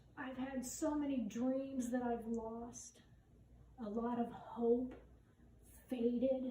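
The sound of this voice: A woman with a fairly high pitch and a dark, mellow tone speaks at a slow pace with little pitch movement, her voice carrying audible room echo.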